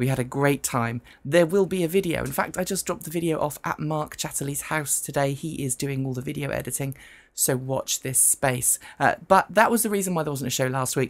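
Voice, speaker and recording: In a British accent, a woman with a husky, very deep, low pitch talks at a fairly quick pace with ordinary pitch variation on a very clean recording with a silent background. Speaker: news panel show host. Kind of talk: talk show. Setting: studio, live stream.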